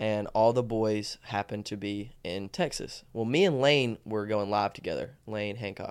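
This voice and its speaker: On a very clean recording with a silent background, a man speaks at a moderate pace and fairly low pitch with ordinary pitch variation. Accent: Alabama. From Alabama, Tuscaloosa. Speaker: social media personality and marketing business owner. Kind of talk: casual chat.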